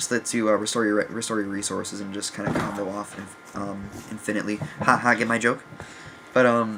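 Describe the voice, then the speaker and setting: Background noise is noticeable here. The man's delivery is fairly quick. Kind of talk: casual talk to camera, deck profile. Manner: hesitant, many fillers.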